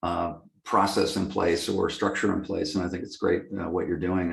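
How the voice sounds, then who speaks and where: Fairly quick in pace, a man speaks at a very deep, low pitch. His intonation is fairly even. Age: 60s. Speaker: lighting company executive. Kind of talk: interview. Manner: halting, many fillers.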